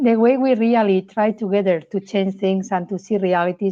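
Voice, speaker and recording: With a Spanish accent, a woman speaks at a moderate pace and medium pitch with fairly even intonation. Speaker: insights executive, show host. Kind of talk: casual interview chat.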